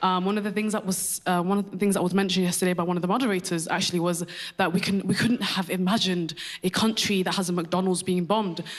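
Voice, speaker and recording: Very fast and flat, a woman with a British accent speaks at medium pitch and very even loudness over noticeable background noise. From UK. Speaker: audience member asking a question. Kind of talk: audience question at panel. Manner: halting, many repetitions.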